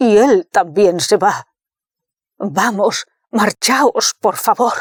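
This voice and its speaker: In a put-on character voice, a woman speaks very slowly. Her voice comes out raspy. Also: medium pitch for a woman, ordinary pitch variation. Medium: read story. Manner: jovial, easygoing.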